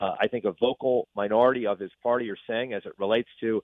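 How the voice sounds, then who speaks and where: A man with a normal speaking voice and medium pitch talks at a fairly quick pace. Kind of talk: interview. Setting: phone call.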